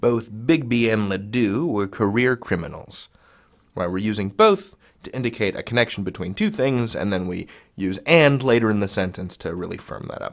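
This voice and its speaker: With an American accent and a playful tone, a man at medium pitch talks at a moderate pace with ordinary pitch variation. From US Midwest. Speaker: online grammar teacher. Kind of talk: tutorial. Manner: casual, playful.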